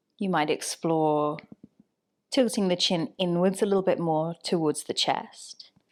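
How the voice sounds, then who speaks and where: Here a woman talks at a fairly low pitch and a fairly slow pace. The recording is very clean with a silent background, and her pitch variation is ordinary. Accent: English. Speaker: yoga teacher. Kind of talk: guided yoga class instruction. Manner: calm, gentle.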